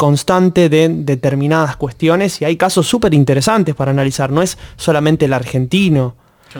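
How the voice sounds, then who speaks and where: A man in a plain, everyday voice, fairly high in pitch, speaks at a moderate pace with ordinary pitch variation. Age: 20s. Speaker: master's student, student group member. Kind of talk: interview.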